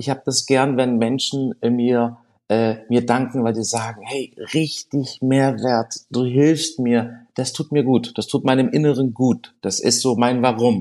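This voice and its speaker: Against a quiet background, a dark, mellow voice speaks at a very slow pace in a monotone, flat intonation with hardly any pauses. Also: man, medium pitch for a man. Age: 40s. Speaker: restaurateur and social media creator. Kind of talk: interview. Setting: studio.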